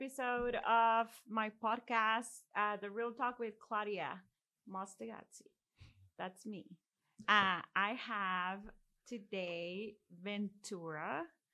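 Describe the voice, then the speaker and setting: A woman speaks very slowly in a Mexican accent, with long, frequent pauses. Her voice sits at a medium pitch with a bright, sharp tone and ordinary pitch variation. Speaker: podcast host and mortgage loan professional. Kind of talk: casual chat.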